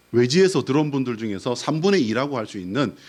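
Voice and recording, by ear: Swinging very widely in pitch, a man speaks at a medium pitch. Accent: Busan.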